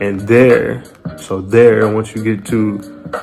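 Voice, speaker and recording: Music plays in the background as a man speaks at a very slow pace. His fairly low voice stays monotone and flat. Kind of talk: scripture reading with commentary.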